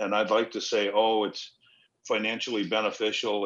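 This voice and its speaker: Speaking at a moderate pace, a man has an ordinary speaking voice and a fairly low pitch. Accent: American. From Los Angeles. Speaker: cannabis company founder, former actor. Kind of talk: casual interview.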